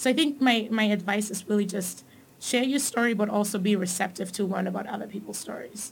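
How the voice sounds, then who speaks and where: Speaking at a fairly quick pace, a woman's voice shows vocal fry. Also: medium pitch for a woman, ordinary pitch variation. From Tanzania, raised in Germany. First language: German. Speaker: corporate manager. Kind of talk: casual interview.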